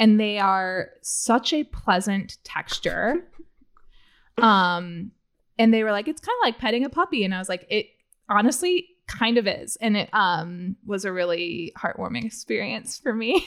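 In an American accent, a woman speaks slowly-ish at a fairly high pitch with lively intonation, in an unremarkable speaking voice. The recording is very clean, with a silent background. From US Midwest (central Illinois). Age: 30s. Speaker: writer and podcaster. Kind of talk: casual chat.

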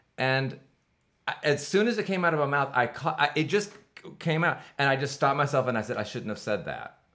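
Loud speech with a bright, sharp tone moves at a fairly quick pace with lively intonation. The recording is very clean, with a silent background. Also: man, fairly high pitch for a man. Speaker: podcast host and music director. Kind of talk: casual interview chat. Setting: in person, same room.

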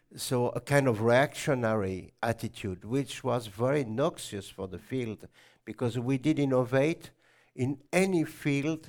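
On a very clean recording with a silent background, a man with an unremarkable speaking voice talks fairly slowly at a medium pitch with ordinary pitch variation. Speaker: botanist and natural dyer. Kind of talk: lecture. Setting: stage with audience.

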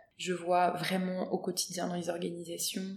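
A woman talks at a fairly slow pace and medium pitch. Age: 40s. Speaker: social entrepreneur, founder of a start-up. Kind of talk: interview. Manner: halting, many hesitations.

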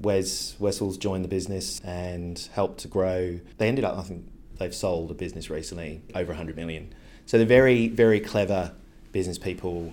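Spoken at a fairly quick pace with fairly even intonation, the voice swings widely in loudness against audible room echo. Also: man, very deep, low pitch for a man. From England, Devon. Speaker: creative agency director. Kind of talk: interview. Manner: casual, with some repetitions.

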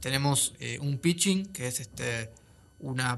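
A man speaks at a fairly high pitch. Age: 20s. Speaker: young filmmaker and film student. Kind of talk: casual interview. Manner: halting, many fillers.

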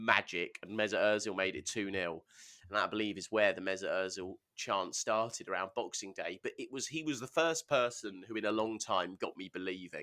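On a very clean recording with a silent background, a man with an English accent talks at a fairly quick pace in a bright, sharp tone, at a fairly low pitch with ordinary pitch variation. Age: 30s. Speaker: football podcast co-host. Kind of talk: casual chat.

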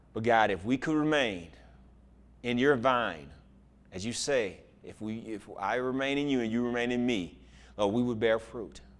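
A man's medium-pitched voice with ordinary pitch movement, a moderate pace, long and frequent pauses, and audible room echo. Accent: American. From Houston, Texas (inner city). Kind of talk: sermon.

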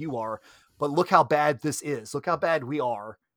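On a very clean recording with a silent background, a man with a fairly high pitch and ordinary pitch variation speaks at a moderate pace. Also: dry, close sound with no echo. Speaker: martial arts instructor. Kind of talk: casual chat. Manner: halting, many repetitions.

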